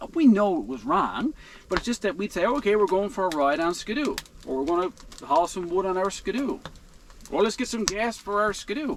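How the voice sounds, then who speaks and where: With a strong Newfoundland accent, the voice moves at a fairly quick pace through very wide pitch swings. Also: man, high pitch for a man. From Newfoundland, Canada. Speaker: outdoor vlogger. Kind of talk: casual vlog monologue. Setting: inside a heated tent in a blizzard.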